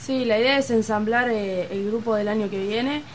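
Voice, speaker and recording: A woman with an Argentine accent talks at a fairly slow pace, her pitch fairly high with ordinary variation. Noticeable background noise runs beneath her. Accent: Rioplatense Argentine Spanish. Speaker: youth handball coach. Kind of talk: casual chat.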